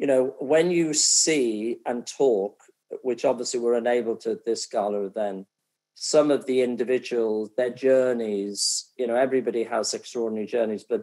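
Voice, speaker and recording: A man with a Welsh accent, dark, mellow tone and ordinary pitch variation. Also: medium pitch for a man, moderate pace. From North Wales. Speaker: event host and football executive. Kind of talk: fundraising appeal; casual chat.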